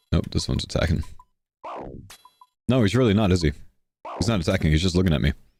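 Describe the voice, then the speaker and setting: A man's very deep, low voice with an American accent, very fast pace, long and frequent pauses, lively intonation, very even loudness, and music in the background. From Texas, Houston. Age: 30s. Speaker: video game streamer. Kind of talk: live gaming stream chat. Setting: live stream with group voice chat.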